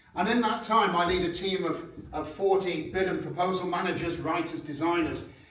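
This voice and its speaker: A man with a British accent speaks loudly in a high voice, with ordinary pitch variation, a moderate pace, audible room echo and noticeable background noise. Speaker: proposal management consultant. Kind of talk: seminar presentation. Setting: conference room with audience, microphones.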